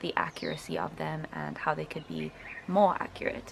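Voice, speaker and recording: Someone speaks fairly quickly in a South African accent over noticeable background noise. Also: woman. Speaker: linguistics student. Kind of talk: casual talk to camera.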